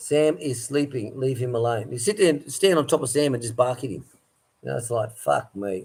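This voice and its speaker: The voice has an Australian accent, lively intonation and a somewhat breathy quality. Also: man, medium pitch for a man, fairly quick pace. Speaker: farmer and livestream host. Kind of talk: casual livestream chat.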